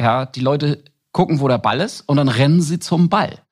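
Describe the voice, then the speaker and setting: Recorded very cleanly against a silent background, a man speaks in a fairly high pitch with a somewhat breathy voice and lively intonation. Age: 40s. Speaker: insurance business founder. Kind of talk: interview.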